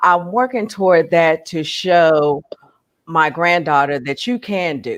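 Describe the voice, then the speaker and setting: Speaking at a fairly slow pace, a woman uses an ordinary speaking voice, fairly low in pitch, with lively intonation. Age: 60s. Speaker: online reseller. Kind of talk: casual chat. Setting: live stream.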